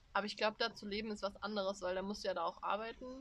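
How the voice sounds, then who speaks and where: Speaking very rapidly, a woman keeps her voice at a medium pitch. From Germany. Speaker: podcast co-host, student. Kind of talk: casual chat. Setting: outdoors on a terrace.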